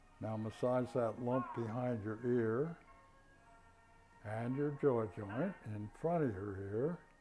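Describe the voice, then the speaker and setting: Over background music, a man speaks very slowly at medium pitch. He leaves long, frequent pauses and uses ordinary pitch variation. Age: 80s+. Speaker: qigong and tai chi instructor. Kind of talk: exercise class instruction.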